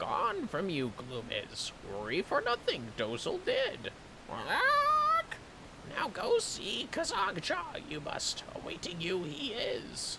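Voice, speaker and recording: Using a high-pitched, put-on character voice, a man speaks very slowly over clear background noise. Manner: bird voice, inverted word order.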